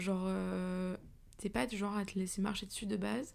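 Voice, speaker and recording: Her medium-pitched voice moves at a moderate pace as this woman speaks. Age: 20s. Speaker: podcaster, journalism student. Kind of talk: personal monologue podcast. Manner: casual, many fillers.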